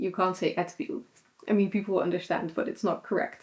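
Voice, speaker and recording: Speaking in a Dutch accent, a woman uses a medium pitch and ordinary pitch variation. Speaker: vlogger. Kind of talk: casual chat. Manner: hesitant, many fillers.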